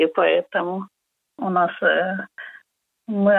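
A woman's medium pitch with fairly even intonation. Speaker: singer's mother. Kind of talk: interview answers. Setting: phone call.

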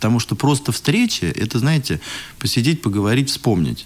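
At a fairly quick pace and with lively intonation, this is an ordinary speaking voice. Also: man. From Moscow, Russia. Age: 30s. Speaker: school director. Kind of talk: interview.

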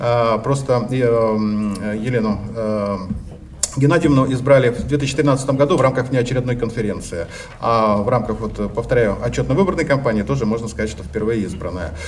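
Lively intonation from a medium-pitched male voice, with audible room echo and noticeable background noise. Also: moderate pace. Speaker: organization delegate. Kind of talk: conference speech. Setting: congress hall.

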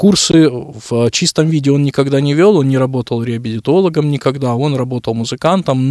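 A man's dark, mellow tone with ordinary pitch variation, dry and close with no echo. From Kyrgyzstan, Bishkek. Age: 30s. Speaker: director of a social centre for the visually impaired. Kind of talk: radio interview. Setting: studio.

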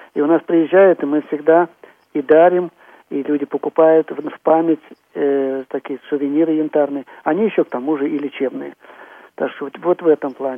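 A man talks at a moderate pace with fairly even intonation and a fairly high pitch. His speech has long, frequent pauses. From Tula, central Russia. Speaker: chairman of regional society of the blind. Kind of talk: radio interview.

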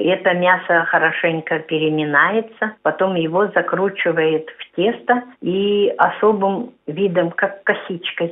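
This woman talks at a very slow pace with medium pitch and fairly even intonation. Her loudness swings widely. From Kalmykia. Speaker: representative of a society for the blind. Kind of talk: radio interview about cooking. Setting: phone call.

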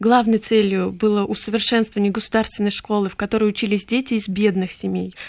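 A woman's medium-pitched voice, monotone and flat, at a very fast pace with hardly any pauses. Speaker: university lecturer and translator. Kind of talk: radio interview.

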